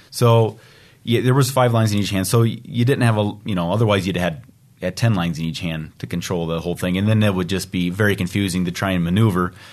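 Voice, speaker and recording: Very fast, very deep and low male voice with ordinary pitch variation against a quiet background. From US Midwest, Iowa. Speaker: draft horse driver. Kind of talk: casual interview. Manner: halting, many repeated words.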